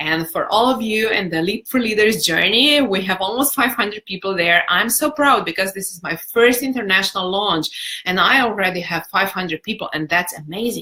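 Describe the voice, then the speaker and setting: A woman talks with a non-native accent at a moderate pace. She leaves hardly any pauses. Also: medium pitch for a woman, lively intonation. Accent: foreign, non-native English. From Europe, non-English-speaking country. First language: not English. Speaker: personal development coach. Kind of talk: live-stream talk and Q&A. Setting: Facebook live video. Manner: warm, animated.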